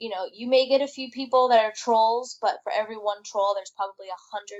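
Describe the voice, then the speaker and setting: A woman with a bubbly tone talks at a fairly quick pace, her pitch varying in an ordinary way. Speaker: YouTube show co-host. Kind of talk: podcast interview. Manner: bubbly, outgoing.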